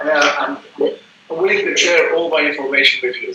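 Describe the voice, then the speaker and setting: Noticeable background noise accompanies a man with a Dutch accent speaking at a fairly quick pace. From Belgium. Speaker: business consultant. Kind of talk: self-introduction in a group workshop. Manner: halting.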